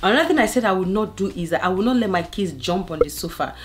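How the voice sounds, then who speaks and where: Noticeable background noise sits behind a woman speaking at a fairly low pitch with lively intonation. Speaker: family lifestyle vlogger. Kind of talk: casual vlog talk to camera. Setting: living room at home. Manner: loud; animated.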